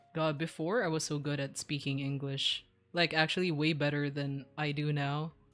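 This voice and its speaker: A woman with a Filipino accent speaks in a very deep, low voice at a moderate pace. Her intonation is fairly even, with music in the background. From Philippines, Visayas. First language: Bisaya. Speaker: streamer. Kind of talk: casual chat.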